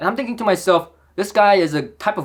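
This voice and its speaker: A man with a Korean accent speaks at a fairly quick pace. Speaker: audio equipment reviewer. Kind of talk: product review. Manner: animated.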